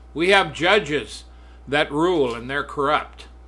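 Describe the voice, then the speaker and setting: A man speaks at a moderate pace with a fairly high pitch, a bright, sharp tone, vocal fry and ordinary pitch variation. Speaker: radio preacher. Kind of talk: fiery end-times sermon turning into a political rant. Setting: studio. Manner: indignant, scolding, jabbing at political opponents; preachy, warning tone, alternating threat and plea to repent.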